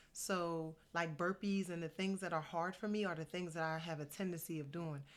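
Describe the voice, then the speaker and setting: A woman speaks at a fairly low pitch with fairly even intonation on a very clean recording with a silent background. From New Jersey. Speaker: motivational vlogger. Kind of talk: casual vlog monologue. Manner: normally very fast. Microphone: good-sounding mic.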